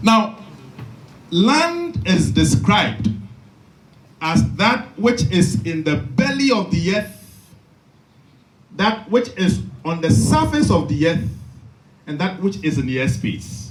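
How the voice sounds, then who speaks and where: In a room with audible echo, a man speaks at a very slow pace in a high pitch, with very wide pitch swings and long, frequent pauses. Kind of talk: lecture. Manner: slow, dictation pace; repeats for emphasis.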